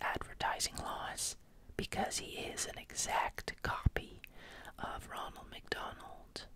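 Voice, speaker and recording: Someone whispers at a very slow pace. There is noticeable background noise. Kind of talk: ASMR whispered fact narration. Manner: whispered.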